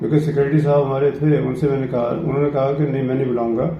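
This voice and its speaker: A man speaks at a moderate pace in a fairly high, monotone, flat voice. Room echo is audible, and background noise is noticeable. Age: 70s. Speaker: cultural centre president. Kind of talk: interview.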